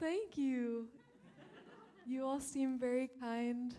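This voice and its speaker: A woman with a Midwestern accent speaks very slowly in a high pitch, her intonation fairly even. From Ohio, US Midwest. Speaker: stand-up comedian and professor. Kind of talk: stand-up. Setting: stage with audience. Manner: quiet.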